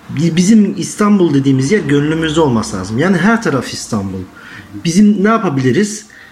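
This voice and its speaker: A man talks with very wide pitch swings. Noticeable background noise and audible room echo surround him. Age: 20s. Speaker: young interviewee. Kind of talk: interview answers.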